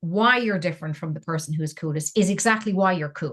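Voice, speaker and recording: Somewhat breathy and fairly low for a woman, her voice races at a very fast pace with ordinary pitch variation. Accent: Irish. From Ireland. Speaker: engineer, scientist and science communicator. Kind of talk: interview answer.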